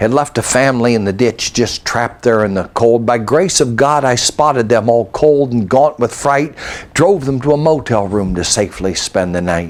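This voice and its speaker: With a normal speaking voice, a man talks at a medium pitch and a moderate pace. His intonation is lively. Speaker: poet and storyteller. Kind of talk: poetry reading, rhymed storytelling.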